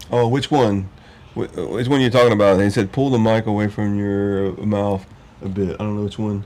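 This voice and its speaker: Fairly low in pitch, a man talks at a fairly quick pace with fairly even intonation. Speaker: motorcycle podcast host. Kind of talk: casual chat. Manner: loud.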